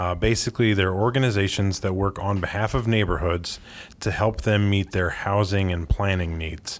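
A man speaks at a moderate pace with a fairly low pitch and fairly even intonation. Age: 30s. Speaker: architect and urban planner. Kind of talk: interview. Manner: frequent filler hesitations.

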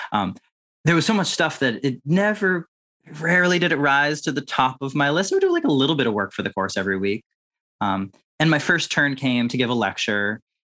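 A man with an American accent speaks at a fairly quick pace in a fairly high pitch, his tone bright and sharp. His pitch swings very widely, and the sound is dry and close with no echo. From Massachusetts, Boston suburbs. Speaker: math author and teacher. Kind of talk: interview conversation. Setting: video call.

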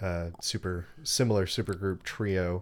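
An unremarkable speaking voice from a man with an American accent, fairly low in pitch and fairly slow, on a very clean recording with a silent background. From Texas. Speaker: musician and podcaster. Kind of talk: casual chat.

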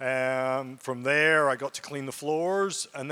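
A man with a Scottish accent speaks in a fairly high voice with a bright, sharp tone. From Scotland, Aberdeen area. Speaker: guest preacher. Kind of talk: sermon. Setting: church.

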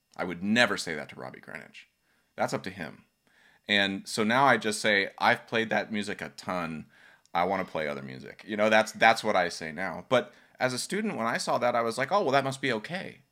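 Fairly low male voice with vocal fry, a bright, sharp tone, lively intonation and a fairly quick pace, on a very clean recording with a silent background. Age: 40s. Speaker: podcast host and steel pan player. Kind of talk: casual chat.

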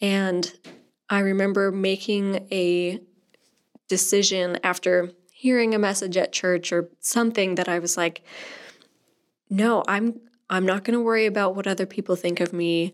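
A woman speaks in a monotone, flat intonation. Her speech has long, frequent pauses. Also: medium pitch for a woman, moderate pace. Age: 20s. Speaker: youth ministry volunteer leader and pianist. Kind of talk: interview.

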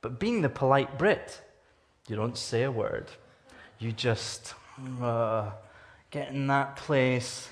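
In a Scottish accent, a man talks at a very slow pace with long, frequent pauses. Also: medium pitch for a man, ordinary pitch variation. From Scotland. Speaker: guest preacher from anti-trafficking charity. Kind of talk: sermon. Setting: church service with congregation.

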